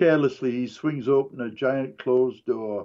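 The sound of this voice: Reading in an unforced voice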